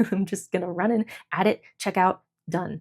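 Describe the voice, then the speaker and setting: A quiet woman's voice, fairly low in pitch. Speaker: journaling vlogger. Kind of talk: casual chat. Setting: at home, fiance sleeping nearby. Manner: hesitant, lots of fillers.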